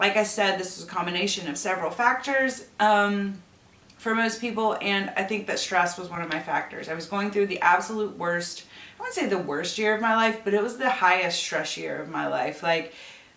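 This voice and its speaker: A woman at medium pitch and a moderate pace, with ordinary pitch variation, audible room echo and noticeable background noise. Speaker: beauty YouTuber. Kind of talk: tutorial. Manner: casual, filler-heavy.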